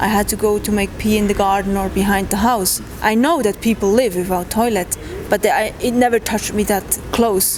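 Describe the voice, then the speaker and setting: A woman's medium-pitched voice at a moderate pace, fairly even in intonation, over noticeable background noise. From Switzerland. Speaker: trekker. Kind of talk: interview. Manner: halting.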